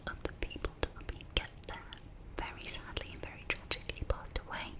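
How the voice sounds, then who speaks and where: Noticeable noise fills the background. A woman speaks in a whisper. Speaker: ASMR creator. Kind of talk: ASMR storytelling. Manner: whispered.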